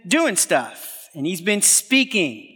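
A man's high-pitched, raised and projected voice with a bright, sharp tone and an American accent. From US Northeast, Brooklyn, New York. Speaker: pastor. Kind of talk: sermon. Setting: stage with audience.

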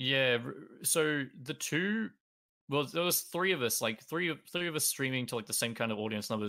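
A man with an Australian accent, a bright, sharp tone, ordinary pitch variation and a fairly quick pace, on a very clean recording with a silent background. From Australia, Melbourne. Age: 20s. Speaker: speedrunner and streamer. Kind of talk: casual chat.

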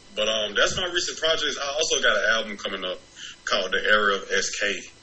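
A man with an American accent at a fairly quick pace, with noticeable background noise and audible room echo. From Decatur, Georgia (Atlanta area). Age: 20s. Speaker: rapper. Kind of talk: casual interview. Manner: animated.

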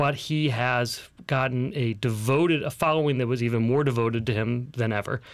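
With a plain, everyday voice, a man speaks at a fairly quick pace and medium pitch, with ordinary pitch variation and very even loudness, in a very clean recording with a silent background. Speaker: guest co-host. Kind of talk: casual banter, business podcast. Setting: studio.

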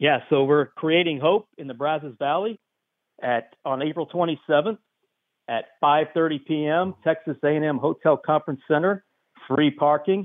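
This man has a normal speaking voice, fairly high in pitch. He speaks at a moderate pace with ordinary pitch variation. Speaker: charity director. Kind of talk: phone-in event promotion. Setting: phone call.

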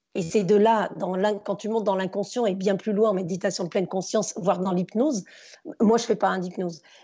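This woman has an ordinary speaking voice at a medium pitch. Her intonation is fairly even. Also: fairly quick pace. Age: 40s. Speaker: former teacher turned stage performer and speaker. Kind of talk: casual interview.

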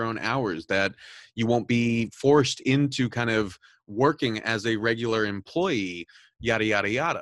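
Recorded very cleanly against a silent background, with a dry, close sound and no echo, this is an ordinary speaking voice with an American accent and ordinary pitch variation. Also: man. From Southern California. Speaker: podcast host and news editor. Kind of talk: interview.

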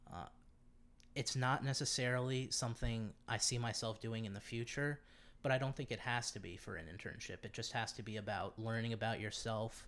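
In an American accent, a man with a normal speaking voice talks at a moderate pace and medium pitch with fairly even intonation, recorded very cleanly against a silent background. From US Northeast, Connecticut, Virginia and Massachusetts. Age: 20s. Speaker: college student. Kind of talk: casual interview.

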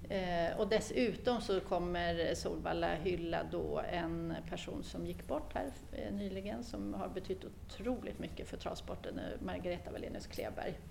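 In a room with audible echo, a woman speaks at a fairly slow pace with hardly any pauses. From Gotland, Sweden. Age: 50s. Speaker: chief executive of a sports body. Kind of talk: interview. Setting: in the parliament building. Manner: halting, many fillers.

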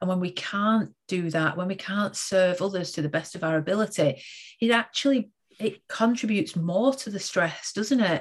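Moderate pace, ordinary pitch variation, and a somewhat breathy quality. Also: woman, medium pitch for a woman. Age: 40s. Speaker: education and leadership coach, podcast host. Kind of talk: interview.

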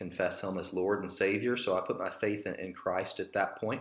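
This is a man with an ordinary speaking voice. His pitch is fairly low. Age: 30s. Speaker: church elder and pastor. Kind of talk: casual interview conversation.

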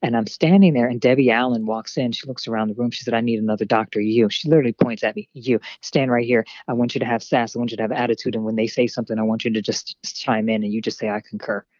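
A woman in an American accent, very deep and low-pitched, at a very fast pace with hardly any pauses. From Harrisburg, Pennsylvania. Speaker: actress and model. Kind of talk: casual interview chat. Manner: animated, playful.

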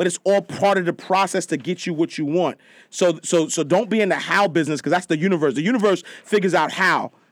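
Very fast, animated speech at a very even loudness, in a very clean recording with a silent background and a dry, close sound with no echo. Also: man, high pitch for a man, ordinary pitch variation. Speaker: motivational speaker and personal finance writer. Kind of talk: casual interview chat. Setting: studio. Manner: loud, animated.

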